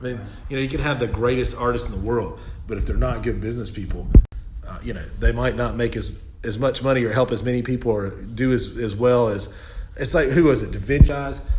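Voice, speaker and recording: Someone with a Southern US accent speaks at a very fast pace with fairly even intonation, amid noticeable background noise and audible room echo. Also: man, medium pitch for a man. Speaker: elder law attorney. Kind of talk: casual chat. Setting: office.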